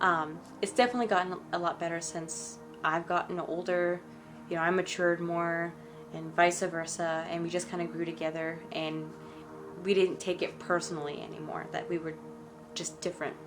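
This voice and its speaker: Music can be heard in the background. The woman talks at a moderate pace. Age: 20s. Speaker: spiritual vlogger. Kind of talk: story time monologue. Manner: halting.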